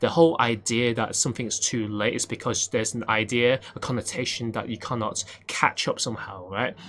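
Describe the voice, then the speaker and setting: Noticeable background noise sits behind a man who talks at a fairly quick pace and medium pitch with fairly even intonation. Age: 30s. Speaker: piano teacher and podcast host. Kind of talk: casual solo talk with advice. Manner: halting, with many fillers.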